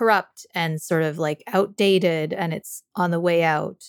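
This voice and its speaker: A woman with an American accent speaks in a fairly low pitch with fairly even intonation, in a plain, everyday voice. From Canada and the US. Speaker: podcast co-host and writer. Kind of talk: casual conversation.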